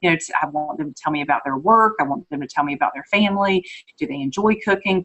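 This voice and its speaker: Speaking very fast with lively intonation, a woman with a North Carolina accent uses a fairly low pitch. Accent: North Carolina country. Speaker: direct sales consultant. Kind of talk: training talk.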